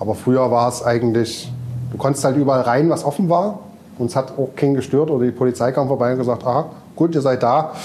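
Against noticeable background noise, a man at a medium pitch talks at a very fast pace with very even loudness. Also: ordinary pitch variation. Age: 40s. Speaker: DJ and festival organizer. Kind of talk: casual chat. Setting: club venue.

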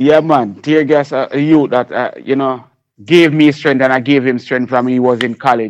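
With a Jamaican accent, a man speaks at a medium pitch and a moderate pace, keeping his intonation fairly even. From Jamaica, Kingston. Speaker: reggae and dancehall artist and producer. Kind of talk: radio interview.

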